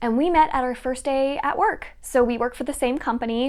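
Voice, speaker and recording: A woman speaks at a moderate pace with ordinary pitch variation in an ordinary speaking voice. The recording is very clean, with a silent background. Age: 20s. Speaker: book YouTuber. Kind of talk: casual Q&A vlog.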